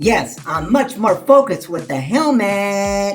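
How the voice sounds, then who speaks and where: In a cartoonish character voice, a man speaks at a high pitch and a fairly slow pace over faint music in the background. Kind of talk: children's puppet show Bible lesson. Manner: enthusiastic.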